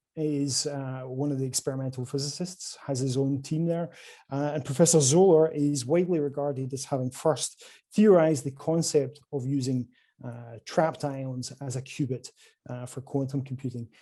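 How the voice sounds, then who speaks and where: A man talks at a moderate pace with a Scottish accent and ordinary pitch variation. His fairly high pitch carries a dark, mellow tone over a quiet background. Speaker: quantum computing company salesperson. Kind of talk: conference presentation. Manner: hesitant, many fillers.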